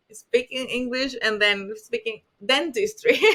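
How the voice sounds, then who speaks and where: Speaking with a strong Spanish accent, a woman's high-pitched voice makes very wide pitch swings. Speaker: dentist. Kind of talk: podcast interview. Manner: halting.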